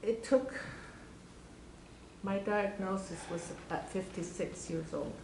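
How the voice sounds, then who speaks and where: A woman at a medium pitch speaks very slowly, with long, frequent pauses and ordinary pitch variation. Noticeable background noise and audible room echo surround her voice. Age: 60s. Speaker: audience member asking a question. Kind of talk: audience question.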